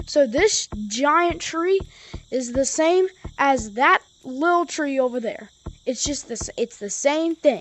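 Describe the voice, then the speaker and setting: A woman speaks very slowly in a high voice with lively intonation. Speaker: gaming YouTuber. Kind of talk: tutorial. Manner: stutters; casual, animated.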